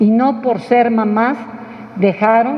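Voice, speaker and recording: Noticeable background noise runs beneath a woman's fairly high-pitched voice. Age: 60s. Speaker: book presenter. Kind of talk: book presentation talk. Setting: press club event with audience.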